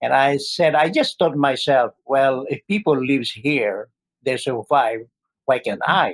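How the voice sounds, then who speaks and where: A man speaks with a Filipino accent at a fairly slow pace. The sound is dry and close with no echo. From Philippines. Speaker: healthcare worker, medical technologist. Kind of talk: casual interview.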